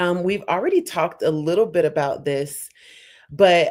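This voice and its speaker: A woman's fairly low-pitched voice, an ordinary speaking voice with ordinary pitch variation, at a moderate pace. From United States. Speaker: panel host. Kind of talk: panel discussion.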